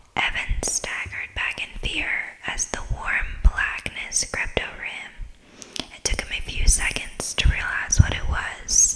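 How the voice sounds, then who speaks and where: A fairly slow whisper over noticeable background noise. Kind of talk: ASMR bedtime story reading. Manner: whispered, soft-spoken.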